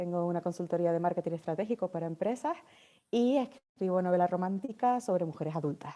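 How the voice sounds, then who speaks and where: Over a quiet background, a voice in a Canarian accent runs at a very fast pace with a dark, mellow tone and ordinary pitch variation. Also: woman, fairly low pitch for a woman. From Canary Islands. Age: 40s. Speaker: novelist and marketing consultant. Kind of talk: podcast interview.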